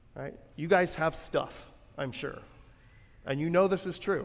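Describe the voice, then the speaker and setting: A man with a high pitch speaks at a fairly slow pace, with ordinary pitch variation and long, frequent pauses. Audible room echo surrounds his voice. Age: 30s. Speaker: pastor. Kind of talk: sermon. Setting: church. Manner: conversational, with filler words.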